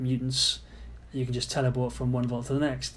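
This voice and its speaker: With audible room echo, a man talks very fast at a medium pitch in a British accent, his voice somewhat breathy. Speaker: game modder commenting on own mod. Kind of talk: gameplay commentary. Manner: casual, halting.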